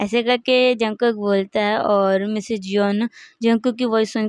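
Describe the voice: The voice is plain reading aloud, with fairly even intonation.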